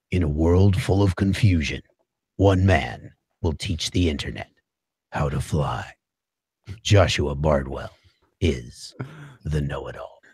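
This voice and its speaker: A man puts on a character voice with a very deep, low pitch. He speaks at a fairly slow pace with long, frequent pauses. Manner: dramatic.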